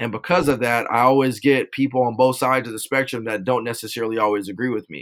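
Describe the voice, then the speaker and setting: This is an unremarkable speaking voice in an American accent. The pace is fairly quick. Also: man. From Southern California (Rialto). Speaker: police officer and nonprofit founder. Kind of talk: interview.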